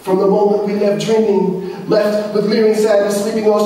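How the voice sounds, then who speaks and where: A man's high-pitched voice at a moderate pace, fairly even in intonation, over noticeable background noise. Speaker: poet. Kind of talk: spoken word poetry performance. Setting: live open-mic reading.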